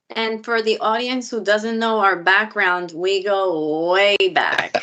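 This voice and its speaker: A very slow delivery with a New York accent and fairly even intonation. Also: woman, medium pitch for a woman. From Queens, New York. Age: 30s. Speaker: dentist. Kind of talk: casual interview.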